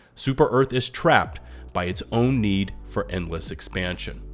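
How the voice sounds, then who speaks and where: A man talks at a moderate pace. Background music accompanies his voice. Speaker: gaming news YouTuber. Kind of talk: gaming news commentary.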